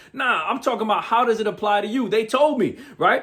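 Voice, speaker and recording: A man speaks loudly in an animated tone over noticeable background noise. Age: 40s. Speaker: motivational speaker. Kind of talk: motivational talk.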